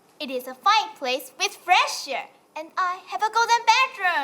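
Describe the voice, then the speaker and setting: This female-sounding voice is a put-on character voice at an extremely high pitch. The pace is moderate. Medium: stage play.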